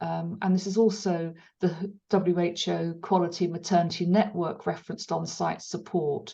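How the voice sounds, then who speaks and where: A woman's medium-pitched voice, dark and mellow in tone, flat and monotone at a moderate pace. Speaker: webinar moderator. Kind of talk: webinar Q&A moderation. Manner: hesitant, many fillers.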